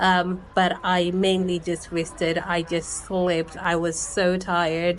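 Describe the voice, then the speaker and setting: The speech comes at a very slow pace with hardly any pauses and a monotone, flat intonation over noticeable background noise. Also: woman, fairly low pitch for a woman. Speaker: travel vlogger. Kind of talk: casual vlog monologue. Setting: speaking to camera. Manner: many filler words.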